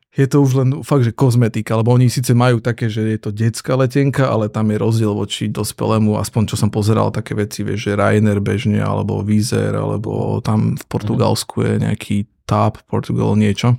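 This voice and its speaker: Fairly quick speech with hardly any pauses in a dry, close sound with no echo. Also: man. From eastern Slovakia, Prešov area. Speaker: entrepreneur and father. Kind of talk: casual chat.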